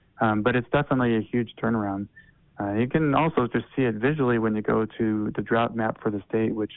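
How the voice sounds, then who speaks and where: The speaker has an unremarkable speaking voice, with fairly even intonation at a moderate pace. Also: man. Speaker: snow survey hydrologist. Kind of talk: informative interview.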